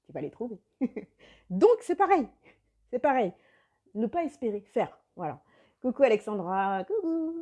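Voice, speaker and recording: The voice has a dark, mellow tone, very wide pitch swings and big swings in loudness. Delivery is fairly slow, with long, frequent pauses. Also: woman, high pitch for a woman. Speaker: life coach. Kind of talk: live video chat with viewers.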